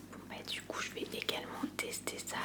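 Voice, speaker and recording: Someone whispers at a fairly slow pace with noticeable background noise behind them. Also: woman. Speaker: ASMR content creator. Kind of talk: ASMR unboxing, relaxed talk to camera. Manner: soft-spoken, whispery, casual.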